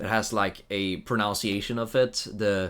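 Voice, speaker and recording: A man speaks with a Swedish accent. His pace is very slow. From Sweden. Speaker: video game streamer. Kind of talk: live gameplay stream chat. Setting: live stream. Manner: casual with frequent fillers and restarts.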